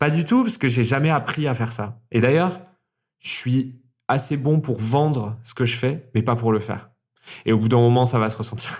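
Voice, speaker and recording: The man's voice is medium in pitch and somewhat breathy. He keeps a moderate pace with ordinary pitch variation. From Toulouse area, France. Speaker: drag performer. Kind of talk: interview answer.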